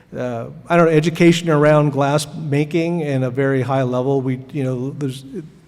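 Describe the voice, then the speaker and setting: A man with an American accent talks at a moderate pace and a fairly high pitch. Audible room echo is present. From US Pacific Northwest, Seattle. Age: 60s. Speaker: glass artist. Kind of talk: artist lecture. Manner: halting, many fillers.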